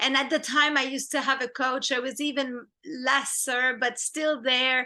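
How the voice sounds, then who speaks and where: Against a quiet background, a woman with a French accent uses a raised, projected voice that is high, bright and sharp, at a moderate pace with monotone, flat intonation. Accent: French accent, lessened by coaching. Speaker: film director and screenwriter. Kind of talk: interview.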